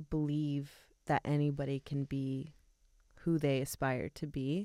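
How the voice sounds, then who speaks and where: A woman speaks at a very slow pace with a very deep, low pitch and monotone, flat intonation. Her tone is dark and mellow, in a very clean recording with a silent background. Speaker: podcast host interviewer. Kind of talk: casual interview chat.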